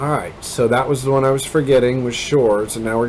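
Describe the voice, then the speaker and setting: A man's medium-pitched voice with an American accent and fairly even intonation, amid audible room echo and noticeable background noise. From Kansas, US Midwest, rural. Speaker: gaming video creator. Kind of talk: gameplay commentary. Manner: rambling, casual with many fillers.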